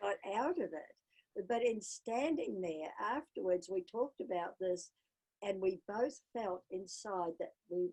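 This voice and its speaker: A woman with a New Zealand accent speaks at a very slow pace and a medium pitch, with lively intonation. Her tone is dark and mellow, and the sound is dry and close with no echo. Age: 80s+. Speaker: polar explorer and adventurer. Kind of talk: interview.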